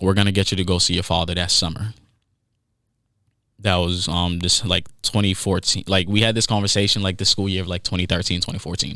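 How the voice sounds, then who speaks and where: In a very clean recording with a silent background, a man speaks at a very deep, low pitch with a slight non-native accent. His tone is bright and sharp, his intonation monotone and flat, and his pace fairly quick. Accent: slight foreign accent on certain words. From Haiti. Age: 20s. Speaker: podcast host. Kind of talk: personal monologue podcast. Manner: casual, halting with restarts.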